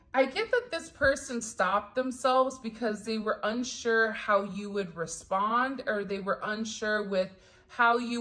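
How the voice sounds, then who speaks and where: A woman speaks at a fairly slow pace in a bright, sharp tone, her fairly high voice showing ordinary pitch variation with hardly any pauses. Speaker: tarot reader. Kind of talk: tarot reading.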